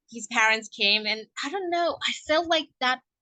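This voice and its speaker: With a non-native accent, a woman talks at a fairly slow pace in a raised, projected voice, her tone animated, bright and sharp, her intonation lively, all in a dry, close sound with no echo. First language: not English. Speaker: podcast host. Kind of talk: casual monologue.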